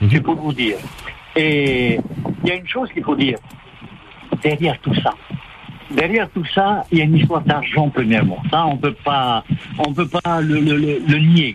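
Long, frequent pauses break up the speech. The pace is otherwise moderate, with noticeable background noise present. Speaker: caller. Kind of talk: phone-in comment. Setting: phone call. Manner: halting. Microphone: cutting out when phone moves.

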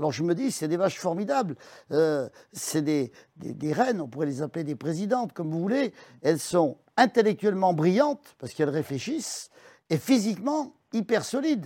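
Very wide pitch swings mark a dark, mellow tone on a very clean recording with a silent background. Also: man, high pitch for a man, moderate pace. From France, Isère. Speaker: livestock dealer and farmer. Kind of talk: interview.

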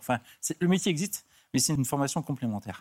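In a very clean recording with a silent background and a dry, close sound with no echo, a man with a fairly high pitch speaks at a very fast pace with ordinary pitch variation. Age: 50s. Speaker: beautician. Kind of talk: TV talk show interview. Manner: hesitant.

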